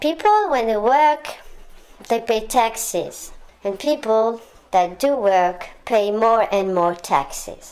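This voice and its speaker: Noticeable background noise sits behind a woman with a fairly high pitch. She speaks very slowly, with lively intonation. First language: French. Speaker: political commentator. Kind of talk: monologue rant. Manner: hesitant with frequent fillers.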